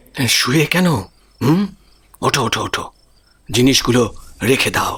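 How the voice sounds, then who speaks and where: Putting on a character voice, a man speaks at medium pitch with lively intonation. He keeps a fairly slow pace. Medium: audio drama. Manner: familiar, coaxing with rhetorical tags.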